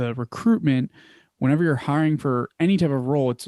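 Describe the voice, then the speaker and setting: Speaking at a moderate pace with a Philadelphia accent, a man uses a dark, mellow tone that sits fairly high, with ordinary pitch variation, in a very clean recording with a silent background. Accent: Philly. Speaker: business founder. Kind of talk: interview. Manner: casual, filler-heavy.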